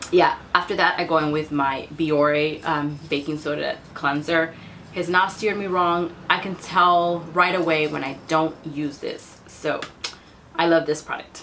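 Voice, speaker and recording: A woman speaks at a fairly slow pace in a fairly low pitch. Her intonation is flat and monotone, and background noise is noticeable. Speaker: beauty vlogger. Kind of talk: product review vlog.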